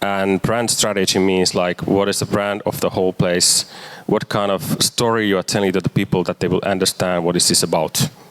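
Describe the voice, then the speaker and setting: Over noticeable background noise, a man talks with a fairly low pitch and fairly even intonation. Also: dry, close sound with no echo. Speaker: marketer and urban activist. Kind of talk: lecture. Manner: halting, many fillers.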